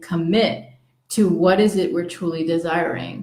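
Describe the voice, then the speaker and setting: Her pitch is medium and her intonation fairly even as this woman speaks. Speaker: spiritual vlogger. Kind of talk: casual monologue to viewers. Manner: hesitant, many fillers.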